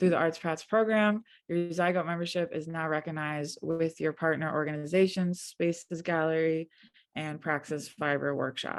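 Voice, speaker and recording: Soft-spoken female speech with ordinary pitch variation and a quiet background. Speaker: print studio technician, webinar moderator. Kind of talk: webinar introduction. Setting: video call webinar.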